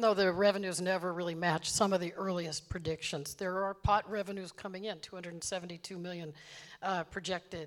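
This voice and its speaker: Talking at a fairly quick pace, a woman has a medium pitch and fairly even intonation, an ordinary speaking voice, though her loudness swings widely. The recording is very clean, with a silent background. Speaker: journalist. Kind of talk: public interview. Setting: stage with audience.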